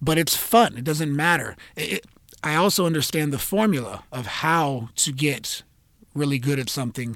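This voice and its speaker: At a moderate pace, a man uses a normal speaking voice with a fairly high pitch and ordinary pitch variation, in a very clean recording with a silent background. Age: 30s. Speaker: jiu-jitsu instructor and podcast host. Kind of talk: solo podcast monologue. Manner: casual with frequent fillers.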